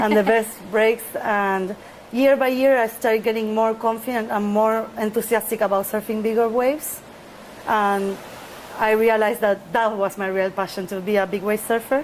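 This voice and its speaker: A woman's fairly high, flat monotone in a Spanish accent, at a moderate pace, with noticeable background noise. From Argentina, Buenos Aires. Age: 30s. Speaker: big wave surfer. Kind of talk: interview. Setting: outdoors near ocean.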